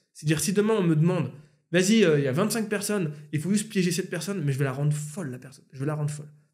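Against a quiet background, a man speaks at a very fast pace in a high pitch, with ordinary pitch variation and big swings in loudness. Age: 30s. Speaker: YouTuber and musician; YouTuber. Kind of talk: casual chat. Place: home room. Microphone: studio mic.

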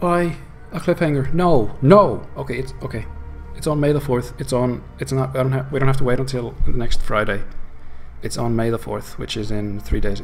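A man at a moderate pace with ordinary pitch variation, music playing in the background. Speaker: streamer reacting to a show. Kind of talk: casual reaction vlog chat. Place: home room. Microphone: lapel.

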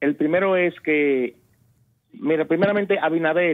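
Over a quiet background, a man speaks at a very slow pace. His pitch is fairly high, with ordinary variation. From Dominican Republic. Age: 50s. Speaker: caller; talk show host or commentator. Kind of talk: call-in complaint on talk radio. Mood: indignant, critical. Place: studio. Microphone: lapel.

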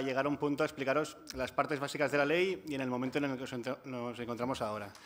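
Fairly even intonation from a man with a Catalan accent. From Catalonia. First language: Catalan (speaking Spanish). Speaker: housing and energy rights activist; panelist. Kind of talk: conference panel talk. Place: hall. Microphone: podium.

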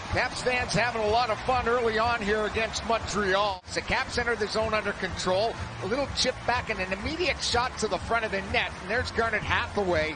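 Speaking at a fairly quick pace with hardly any pauses, a man with a high pitch shows ordinary pitch variation, the sound dry with no echo over noticeable background noise. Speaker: play-by-play announcer. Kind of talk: live sports commentary, colour analyst. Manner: brisk, upbeat and conversational, cheerful and playful; fluent talker who rattles off stats. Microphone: headset.

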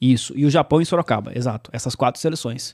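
A man's dark, mellow tone at a fairly quick pace, with ordinary pitch variation and a quiet background. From São Paulo state interior, Brazil (Salto); São Paulo state, Brazil. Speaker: sports journalist and play-by-play narrator; podcast guest. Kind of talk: casual interview chat. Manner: halting, many repetitions. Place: studio. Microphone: studio mic.

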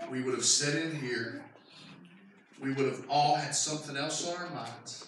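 Strong room echo surrounds a man speaking at medium pitch and a moderate pace, his tone fairly bright and his pitch variation ordinary.

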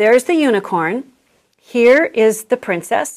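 Against a quiet background, a woman speaks at a high pitch with ordinary variation and a fairly slow pace. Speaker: craft presenter for teachers. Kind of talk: tutorial. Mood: warm, friendly, calm. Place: studio.

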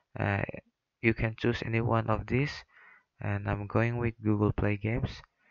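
In a non-native accent, a man talks at a moderate pace and medium pitch, his intonation flat and monotone. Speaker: mobile game tutorial maker. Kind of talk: screen-recorded tutorial narration. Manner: hesitant, many fillers.

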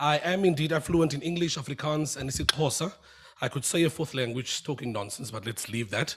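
Against a quiet background, a man talks at a very fast pace in a somewhat breathy voice with ordinary pitch variation. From Western Cape, South Africa. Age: young. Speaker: job interview candidate; candidate. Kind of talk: formal interview answers. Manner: formal. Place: hall. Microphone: podium.

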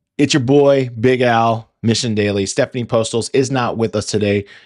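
Against a quiet background with dry sound and no echo, a man speaks at a moderate pace in a fairly low pitch. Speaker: podcast host. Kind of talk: casual podcast monologue. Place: home room. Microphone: studio mic.

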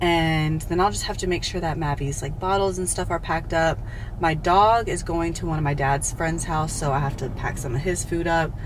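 A woman with a plain, everyday voice, fairly low in pitch, at a moderate pace with fairly even intonation, over light background noise. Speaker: fitness trainer, vlogger. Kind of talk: casual vlog chat. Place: car. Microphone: phone near.

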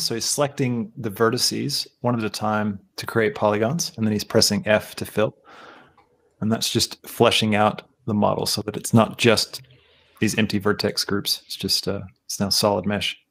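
A man speaks at a moderate pace in a medium pitch with ordinary pitch variation. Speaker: live stream show host. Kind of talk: live stream commentary. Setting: live stream with remote guests. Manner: animated.

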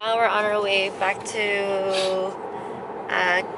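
There is loud background noise behind this woman's voice. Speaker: family vlogger. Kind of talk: casual vlog chat. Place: car. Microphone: phone near.

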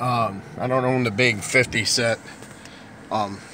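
Very slowly, a man talks in a flat, monotone way. The room echoes audibly, and background noise is noticeable. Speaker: movie collector YouTuber. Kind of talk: casual video monologue. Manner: halting with fillers.

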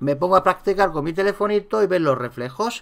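With a Madrid accent, a man talks at a moderate pace in a high pitch, with an animated tone and ordinary pitch variation. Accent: central Spain Spanish (Madrid area). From Spain, town south of Madrid. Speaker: street photography youtuber. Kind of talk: casual tutorial monologue.

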